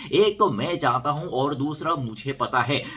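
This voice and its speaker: A man with a Korean accent and a fairly high pitch. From South Korea. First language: Korean (speaking Hindi). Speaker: YouTuber. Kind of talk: casual vlog storytelling.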